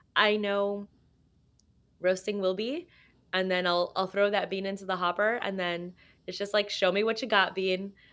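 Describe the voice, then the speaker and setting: A woman with a Californian accent speaks at a moderate pace and medium pitch, her tone bright and sharp and her intonation fairly even, in a very clean recording with a silent background. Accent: General American, California. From Los Angeles, US. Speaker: coffee roaster and cafe owner. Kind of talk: casual interview chat.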